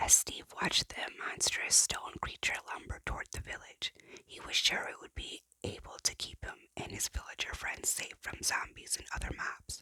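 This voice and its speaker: A whisper at a moderate pace. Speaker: parent. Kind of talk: ASMR book reading. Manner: whispered.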